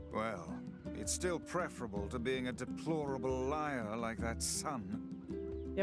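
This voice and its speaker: Over music in the background, a man speaks very slowly at a fairly low pitch, with very wide pitch swings yet very even loudness. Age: sounds old. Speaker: game character. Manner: formal, disapproving.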